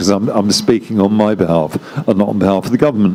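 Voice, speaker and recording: Noticeable background noise accompanies a man speaking in a fairly low pitch. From London, England. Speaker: diplomat. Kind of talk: panel talk.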